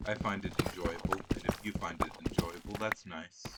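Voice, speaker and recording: A man's voice over noticeable background noise. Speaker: gamer doing voiceover. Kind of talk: casual gameplay commentary. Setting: recorded voiceover over gameplay. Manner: hesitant, many fillers.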